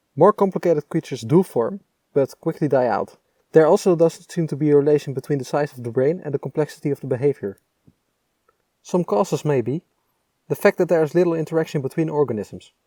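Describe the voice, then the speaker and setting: A man with a Dutch accent speaks at a very fast pace in a fairly high voice with a dark, mellow tone and ordinary pitch variation, on a very clean recording with a silent background, dry and close with no echo. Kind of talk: technical explainer narration.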